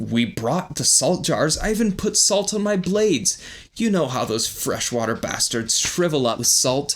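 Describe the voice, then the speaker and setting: This is a man doing a put-on character voice. His pitch is high. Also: moderate pace. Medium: read story. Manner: gruff, forceful.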